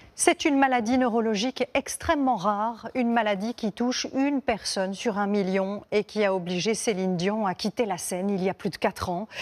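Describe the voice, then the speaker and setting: In an unremarkable speaking voice, a woman talks at a moderate pace with ordinary pitch variation and hardly any pauses, the sound dry and close with no echo. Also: fairly high pitch for a woman. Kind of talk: TV news anchor intro.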